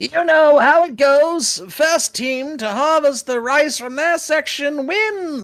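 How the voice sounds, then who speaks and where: In a put-on character voice, someone talks with a high pitch at a fairly slow pace, hardly pausing, over faint music in the background. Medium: actual play.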